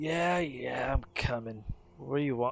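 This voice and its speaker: A put-on character voice, raspy and low-to-middle in pitch, at a moderate pace. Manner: impatient, gruff.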